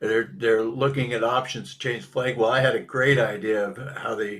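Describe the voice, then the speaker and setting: A man with an American accent talks at a moderate pace and medium pitch, with fairly even intonation and vocal fry. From Minnesota. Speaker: political cartoonist. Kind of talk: casual chat. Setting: live podcast.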